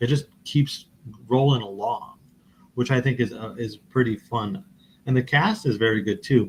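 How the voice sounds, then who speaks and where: A man's somewhat breathy voice at a medium pitch. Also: ordinary pitch variation, moderate pace. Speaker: podcast co-host. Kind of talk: casual chat. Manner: halting.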